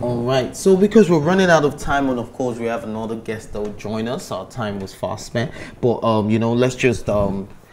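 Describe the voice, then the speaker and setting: A man at a medium pitch with lively intonation, talking at a moderate pace with hardly any pauses, over noticeable background noise. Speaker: TV show host. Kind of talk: TV talk show hosting.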